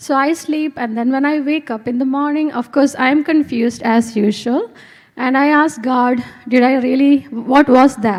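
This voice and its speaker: Soft-spoken and high-pitched, a woman speaks with an Indian accent. Her pace is moderate and her intonation fairly even. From India, Kerala. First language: Malayalam. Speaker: physics professor. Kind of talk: testimony. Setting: stage with audience.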